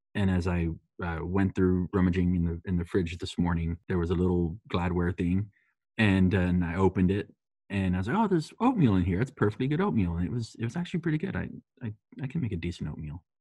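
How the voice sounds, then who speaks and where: Against a quiet background, a man with an American accent speaks very fast in a very deep, low voice with a dark, mellow tone and ordinary pitch variation. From US, Texas-Mexico border. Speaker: podcast guest, coworker of host. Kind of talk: casual chat.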